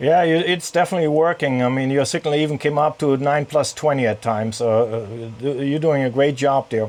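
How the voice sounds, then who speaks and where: A man's fairly high voice with a German accent, fairly quick and very even in loudness. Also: ordinary pitch variation. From Germany. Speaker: amateur radio operator and sailor. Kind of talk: ham radio contact. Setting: radio on a sailboat in a marina.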